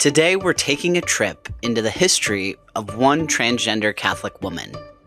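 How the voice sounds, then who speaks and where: Music plays behind speech delivered at a moderate pace. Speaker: podcast host. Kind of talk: podcast intro.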